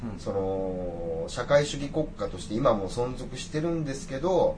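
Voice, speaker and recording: Through noticeable background noise and audible room echo, a man speaks at a medium pitch with very wide pitch swings. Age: 30s. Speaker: businessperson working in China. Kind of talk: casual chat.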